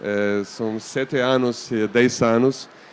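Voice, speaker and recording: This speaker has a non-native accent and fairly even intonation. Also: man. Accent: foreign accent in Portuguese. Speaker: museum artistic director. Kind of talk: panel discussion moderation. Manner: hesitant, many fillers.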